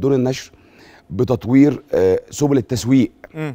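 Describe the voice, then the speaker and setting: Over a quiet background, a man talks at a moderate pace with ordinary pitch variation. His tone is dark and mellow, at a medium pitch. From Egypt. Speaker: book fair director; guest. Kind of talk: interview. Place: studio. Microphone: lapel.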